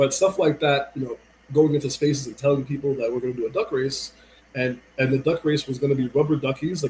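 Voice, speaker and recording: With an American accent, a man talks at a fairly quick pace in a fairly high, somewhat breathy voice with a dark, mellow tone. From New York. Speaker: music and crypto entrepreneur. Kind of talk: casual interview chat.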